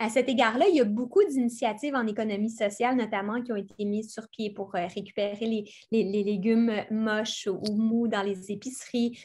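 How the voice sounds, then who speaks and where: A woman with a fairly high pitch speaks at a moderate pace with fairly even intonation, a somewhat breathy quality and hardly any pauses. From Quebec, Montérégie; Quebec. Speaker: environmental speaker; speaker. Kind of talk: lecture. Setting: video call. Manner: halting, many repetitions. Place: home room. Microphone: webcam.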